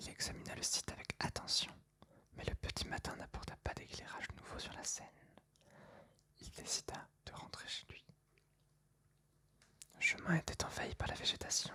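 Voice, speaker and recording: Whispering with big swings in loudness, the speaker leaves long, frequent pauses. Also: woman. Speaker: ASMR reader. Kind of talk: whispered ASMR book reading for sleep. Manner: whispered, soft, slow.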